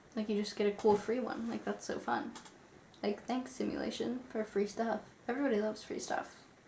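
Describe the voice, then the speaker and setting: Noticeable background noise surrounds a woman's fairly high voice. She speaks at a fairly quick pace with fairly even intonation. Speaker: YouTuber reading viewer stories. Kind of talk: storytime with reading aloud. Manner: casual, chatty.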